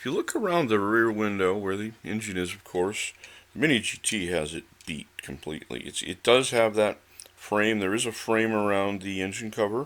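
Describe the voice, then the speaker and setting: A man talks in a fairly low voice at a moderate pace. His pitch varies in an ordinary way. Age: 60s. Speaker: diecast model car reviewer. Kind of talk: product review. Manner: casual, hesitant with many fillers.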